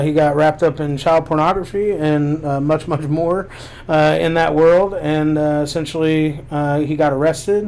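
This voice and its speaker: Here a man speaks at a fairly slow pace and a fairly high pitch. Noticeable background noise sits behind him. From Lexington, Kentucky. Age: 30s. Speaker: author. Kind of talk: casual chat.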